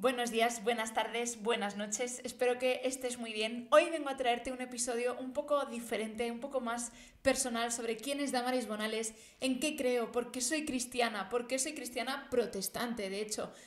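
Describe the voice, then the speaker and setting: At a moderate pace, a woman speaks in a high voice with fairly even intonation. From Spain, Barcelona area (born Madrid, moved at five). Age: 20s. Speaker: theology podcaster. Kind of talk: personal testimony.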